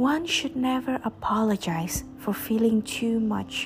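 The speaker goes at a very slow pace with ordinary pitch variation. Noticeable background noise is present. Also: woman. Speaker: podcast host reading poetry. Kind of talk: poem performed, reading aloud of love poems.

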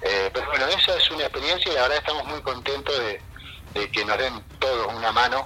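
Noticeable background noise behind fairly quick speech and ordinary pitch variation. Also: man. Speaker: social worker and community filmmaker. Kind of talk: interview.

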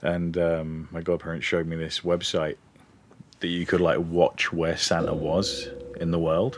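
Against noticeable background noise, a man with an English accent talks at a moderate pace in a very deep, low voice with fairly even intonation. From England. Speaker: podcast co-host. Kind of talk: casual chat.

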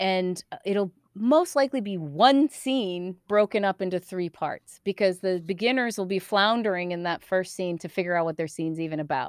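A woman with an American accent speaks at a moderate pace in an unremarkable speaking voice, medium in pitch with ordinary pitch variation and hardly any pauses. The recording is very clean, with a silent background and a dry, close sound with no echo. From US East Coast. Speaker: improv comedian and theater founder. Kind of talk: casual interview.

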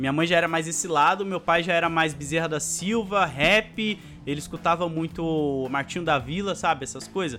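A man's fairly high voice with ordinary pitch variation, moderate pace and hardly any pauses, music in the background. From Brazil, São Paulo (born in Alagoas, moved at 3). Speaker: YouTuber. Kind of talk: casual interview chat.

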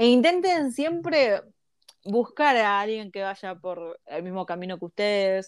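In a Rioplatense accent, a woman speaks at a fairly slow pace. Her medium pitch moves in very wide swings. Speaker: podcast co-host. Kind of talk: casual chat.

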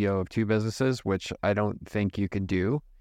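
Using a normal speaking voice, a man talks at a fairly quick pace with fairly low pitch and fairly even intonation over a quiet background. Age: 40s. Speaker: entrepreneur running a holding company. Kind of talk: interview.

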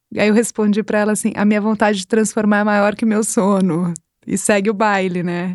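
A woman speaks in a flat monotone at medium pitch and a fairly quick pace. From Brazil, São Paulo. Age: 40s. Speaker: business executive. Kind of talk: interview conversation.

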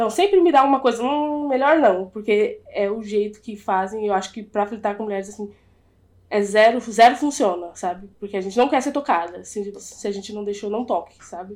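A woman speaks in a plain, everyday voice, fairly high in pitch and at a moderate pace. Her pitch varies in an ordinary way while her loudness swings widely. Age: 20s. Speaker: podcast guest. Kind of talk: casual chat.

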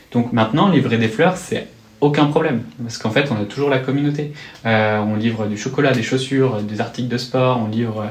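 A man's medium-pitched voice at a moderate pace, with ordinary pitch variation, audible room echo and noticeable background noise. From rural western France. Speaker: startup co-founder. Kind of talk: interview. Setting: office.

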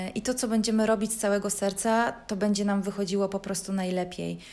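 The woman talks at a moderate pace, medium in pitch, with monotone, flat intonation. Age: 30s. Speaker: podcaster. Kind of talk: personal monologue. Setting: at home.

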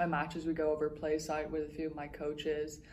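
In a Dublin accent, a woman with a fairly low pitch speaks amid audible room echo and noticeable background noise. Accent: Irish, Dublin. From Dublin, Ireland. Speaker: college tennis player. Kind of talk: interview. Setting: tennis tournament campus.

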